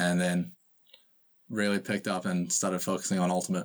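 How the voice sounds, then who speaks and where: The speaker is a man. His accent is New Zealand. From New Zealand, Auckland. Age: 20s. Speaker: ultimate frisbee player. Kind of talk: casual interview. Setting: video call.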